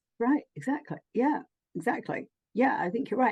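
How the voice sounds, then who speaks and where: Lively intonation marks a woman's voice, which has a dark, mellow tone. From London, England. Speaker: spiritual healer and channeler. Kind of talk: casual chat.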